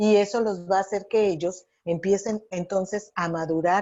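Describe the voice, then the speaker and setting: A woman's voice at a moderate pace. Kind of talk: radio interview.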